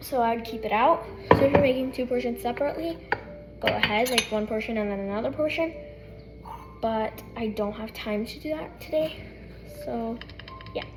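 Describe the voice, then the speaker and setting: A woman's fairly high, lively voice at a fairly quick pace, broken by long, frequent pauses, with audible room echo and noticeable background noise. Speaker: cooking vlogger. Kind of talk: tutorial. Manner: fast.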